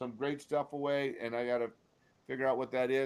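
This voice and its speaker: This man has an unremarkable speaking voice, talking at a moderate pace with fairly even intonation. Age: 60s. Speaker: sports podcast host, former football player. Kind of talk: casual chat.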